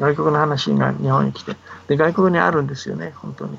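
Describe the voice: A man's fairly quick delivery with vocal fry, a slightly husky edge and fairly even intonation. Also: fairly high pitch for a man.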